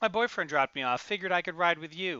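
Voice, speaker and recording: Putting on a character voice, a man talks very fast in a high pitch. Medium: read story. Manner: terse, guarded.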